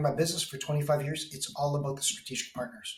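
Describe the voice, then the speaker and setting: A man speaks very fast in a fairly high pitch. His tone is animated. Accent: Canadian. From Canada. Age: 60s. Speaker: technology business consultant. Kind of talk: podcast interview.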